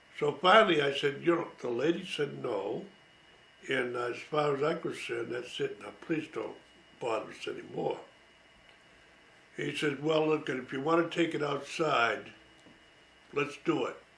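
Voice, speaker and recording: In an American accent, a man speaks at a moderate pace with long, frequent pauses. Audible room echo surrounds his voice. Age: 80s+. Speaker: war veteran. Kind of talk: storytelling. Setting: at home. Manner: halting.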